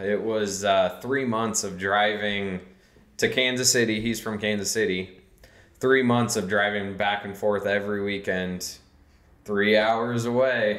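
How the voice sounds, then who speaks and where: In a room with audible echo, a man talks at a fairly slow pace with a fairly low pitch and monotone, flat intonation. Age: 30s. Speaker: street racer; podcast guest. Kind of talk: casual chat. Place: studio.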